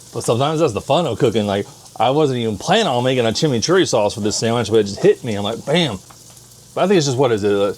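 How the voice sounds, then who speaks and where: Spoken at a very fast pace, the voice sounds animated, with lively intonation. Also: man, medium pitch for a man. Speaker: home cooking vlogger. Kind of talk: casual cooking vlog. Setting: home kitchen.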